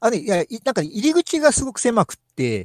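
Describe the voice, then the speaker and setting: A man speaks in a very clean recording with a silent background and a dry, close sound that has no echo. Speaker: maker who performs with a puppet skeleton. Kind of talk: casual chat. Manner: halting, many fillers.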